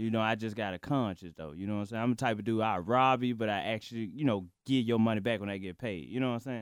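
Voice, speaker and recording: Speaking with an American accent, a man talks at a very fast pace with hardly any pauses. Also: medium pitch for a man, ordinary pitch variation, very clean recording, silent background. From Chicago, then Memphis. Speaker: stand-up comedian. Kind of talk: casual interview chat.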